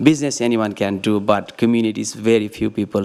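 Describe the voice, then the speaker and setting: Someone with a non-native accent talks at a very fast pace. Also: man. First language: not English. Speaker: local business owner receiving award. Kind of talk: short acceptance speech. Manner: halting.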